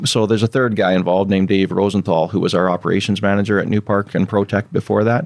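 A man's fairly low voice in a Canadian accent at a very fast pace, with hardly any pauses and very even loudness. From southern British Columbia, Canada. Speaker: company CEO. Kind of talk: casual interview.

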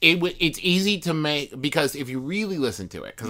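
With an American accent, a man talks in an animated way, his bright, sharp tone pitched fairly high and touched with vocal fry, on a very clean recording against a silent background. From US, West Virginia. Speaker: podcaster. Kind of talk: casual chat. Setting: studio.

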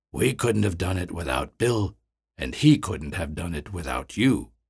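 A man's put-on character voice, very deep and low, with very wide pitch swings at a moderate pace. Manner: calm, apologetic.

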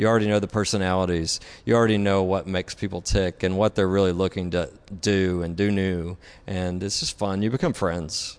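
Against a quiet background, a man with a Southern US accent talks at a fairly quick pace in a very deep, low pitch with fairly even intonation. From Tennessee. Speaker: architect and designer. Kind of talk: interview. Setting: studio.

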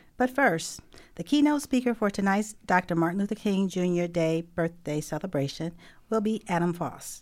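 A woman with a normal speaking voice, medium pitch and lively intonation, at a moderate pace on a very clean recording with a silent background. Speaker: community radio host. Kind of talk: scripted announcements. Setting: studio.

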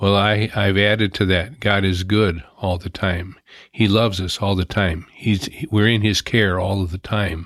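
In a very clean recording with a silent background, a man with a plain, everyday voice talks at a moderate pace, fairly low in pitch and with fairly even intonation. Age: 60s. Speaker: retired volunteer on mission service projects. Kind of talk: interview.

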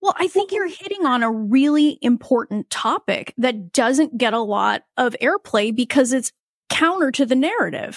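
In a dry, close recording with no echo, a woman speaks in a high voice with very wide pitch swings. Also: moderate pace. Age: 40s. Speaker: podcast host, fertility coach. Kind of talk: interview.

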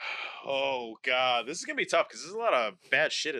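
The clip features an unforced reading voice.

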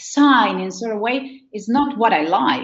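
With an Argentine accent, a woman speaks at a fairly slow pace and lively intonation. Audible room echo surrounds her voice. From Argentina. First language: Spanish. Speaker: wedding planner. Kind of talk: interview. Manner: halting.

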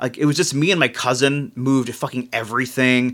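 A man with a plain, everyday voice, fairly high in pitch, at a moderate pace on a very clean recording with a silent background. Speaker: podcast co-host. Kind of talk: casual banter. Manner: profane, ranting.

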